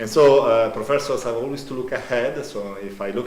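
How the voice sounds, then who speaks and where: A man speaks at a moderate pace with fairly even intonation. Audible room echo and noticeable background noise fill the recording. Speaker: professor. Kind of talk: conference talk. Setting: conference hall. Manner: loud.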